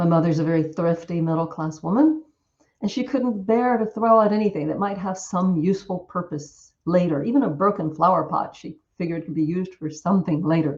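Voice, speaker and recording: Somewhat breathy and fairly low-pitched, a woman with an American accent talks at a fairly quick pace with ordinary pitch variation. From US South. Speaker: Buddhist nun and Dhamma teacher. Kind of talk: Dhamma talk. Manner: hesitant fillers, occasional stumbles.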